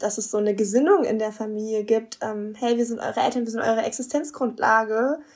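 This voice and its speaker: On a very clean recording with a silent background, a woman uses an ordinary speaking voice, fairly high in pitch, with fairly even intonation at a fairly quick pace. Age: 20s. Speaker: marriage and family counsellor, couples coach. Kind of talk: interview.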